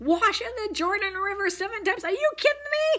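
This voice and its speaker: A put-on character voice, squeaky and extremely high in pitch, moves at a fairly quick pace. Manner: angry, incredulous.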